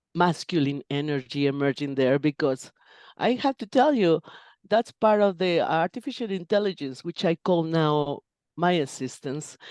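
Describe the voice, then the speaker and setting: Recorded with a dry, close sound and no echo, a woman with a Spanish accent speaks at a moderate pace and a fairly low pitch, with lively intonation. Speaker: interpreter and translator. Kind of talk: interview conversation. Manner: halting with self-corrections.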